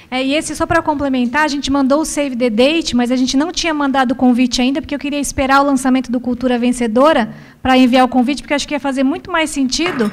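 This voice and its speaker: Her high-pitched voice races along at a very fast pace with hardly any pauses. The woman keeps a fairly even intonation throughout. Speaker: corporate training organizer. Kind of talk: corporate meeting Q&A.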